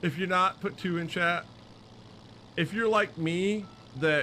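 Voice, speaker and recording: With a bright, sharp tone and an American accent, a man speaks at a moderate pace with ordinary pitch variation. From Michigan. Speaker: gaming streamer. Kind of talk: live stream chat. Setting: live stream. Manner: animated.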